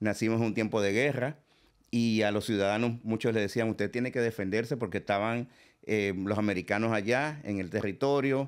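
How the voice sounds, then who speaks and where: A man at a moderate pace, with fairly even intonation, very even loudness and a quiet background. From Dominican Republic, Santo Domingo; Dominican Republic. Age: 50s. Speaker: merengue musician; guest. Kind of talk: interview. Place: studio. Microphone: studio mic.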